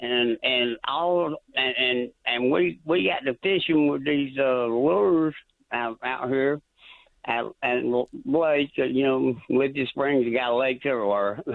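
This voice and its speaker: A man at a medium pitch, fairly slow, with very even loudness and ordinary pitch variation. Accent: Georgia. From US South. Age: 60s. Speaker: caller, fisherman. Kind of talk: radio call-in. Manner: halting, stammering.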